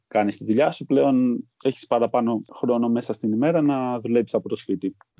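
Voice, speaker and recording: A fairly quick pace with ordinary pitch variation. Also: man. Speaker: stock exchange employee. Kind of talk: interview. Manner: halting.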